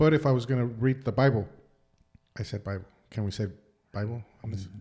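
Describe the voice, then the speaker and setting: The voice is somewhat breathy, dark and mellow, with a Spanish accent. It moves at a very fast pace. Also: man, medium pitch for a man, ordinary pitch variation. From Mexico, raised in the US from age six. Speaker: podcast co-host. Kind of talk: casual chat. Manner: halting, stuttering.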